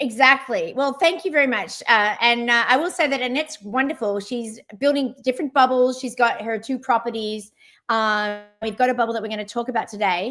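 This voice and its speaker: In a very clean recording with a silent background, a woman with an Australian accent speaks fairly quickly with hardly any pauses, her high pitch, bright, sharp tone and ordinary pitch variation coming through. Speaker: travel platform CEO, livestream host. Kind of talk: live interview. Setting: livestream.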